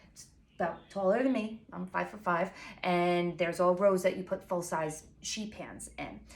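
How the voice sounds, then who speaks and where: Her loudness swinging widely, a woman with a Long Island accent speaks at medium pitch with fairly even intonation. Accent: Long Island New York. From Long Island, New York. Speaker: pastry chef and baking blogger. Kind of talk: tutorial. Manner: fast; casual, filler-heavy.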